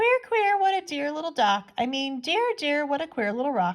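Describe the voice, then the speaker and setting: This put-on character voice sits at a high pitch with very wide pitch swings. The pace is moderate. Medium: read story.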